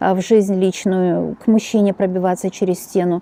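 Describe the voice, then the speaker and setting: In a dry, close recording with no echo, a woman with a medium-pitched, dark, mellow tone talks at a moderate pace. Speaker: tarot reader. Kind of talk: tarot reading monologue. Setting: home. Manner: soft-spoken.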